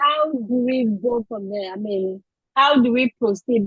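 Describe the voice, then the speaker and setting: Somewhat breathy, a woman with a Ghanaian accent speaks at a fairly high pitch. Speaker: audience member asking a question. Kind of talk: question from audience.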